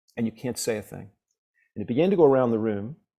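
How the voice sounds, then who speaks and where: A man with a New York accent, medium pitch and a very fast pace. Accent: New York American. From downstate New York. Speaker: professor and blues harmonica player. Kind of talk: interview conversation.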